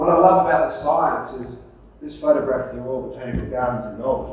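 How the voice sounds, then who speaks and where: A man speaks with an Australian accent. Noticeable background noise and audible room echo are present. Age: 60s. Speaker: forest scientist and tree grower. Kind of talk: workshop presentation.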